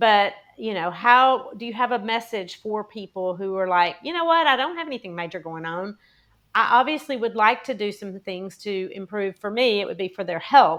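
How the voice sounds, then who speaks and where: This woman has an ordinary speaking voice at a medium pitch and talks at a moderate pace. Her intonation is lively, and her loudness swings a lot. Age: 60s. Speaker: podcast host and health coach. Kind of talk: interview conversation.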